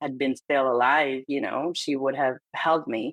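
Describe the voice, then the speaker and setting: A woman with a non-native accent is heard in a dry, close sound with no echo. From Hungary. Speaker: psychotherapist. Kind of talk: interview.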